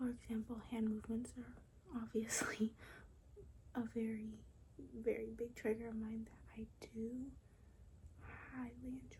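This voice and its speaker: A soft-spoken woman whispering at a fairly slow pace, with long, frequent pauses and big swings in loudness. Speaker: ASMR content creator. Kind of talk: ASMR whisper ramble to camera. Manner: soft-spoken, whispered.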